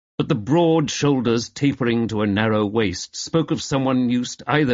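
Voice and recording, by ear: The words are read aloud. The voice is natural.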